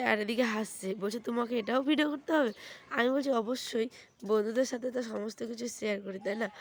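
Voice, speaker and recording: Intonation stays fairly even in this woman's speech. Her pitch is high. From West Bengal, Uttar Dinajpur. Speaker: village lifestyle vlogger. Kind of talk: casual vlog narration.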